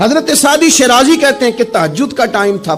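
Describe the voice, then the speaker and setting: With music in the background, a man speaks with lively intonation. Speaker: Islamic preacher. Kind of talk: Islamic sermon (bayan).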